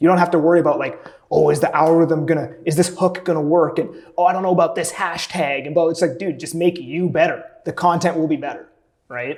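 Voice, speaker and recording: Speaking at a very fast pace, a man uses a high pitch and fairly even intonation. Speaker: real estate agent and social media coach. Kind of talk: podcast interview. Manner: loud; casual, filler-heavy.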